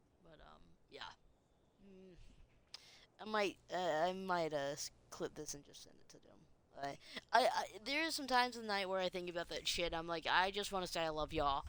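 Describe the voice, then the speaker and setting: Soft-spoken yet with lively intonation, a woman leaves long, frequent pauses while her loudness swings widely. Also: medium pitch for a woman, moderate pace. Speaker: game streamer. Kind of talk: live gameplay commentary. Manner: halting. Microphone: quiet audio.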